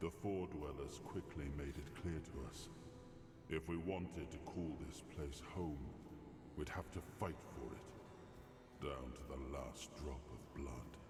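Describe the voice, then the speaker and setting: With clear echo and loud background noise, a man puts on a character voice at a fairly slow pace. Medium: video game. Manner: calm, measured, reflective.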